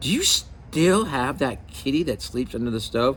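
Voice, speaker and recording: Over clear background noise, a man uses a shrill, put-on character voice at a moderate pace. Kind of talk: bedtime story. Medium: read story. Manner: screechy.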